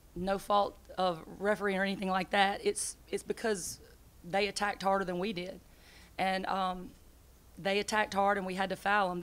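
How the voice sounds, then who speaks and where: At a moderate pace, a woman talks in a monotone, flat intonation. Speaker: basketball head coach. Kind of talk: interview answer. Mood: disappointed after a loss. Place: hall. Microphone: podium.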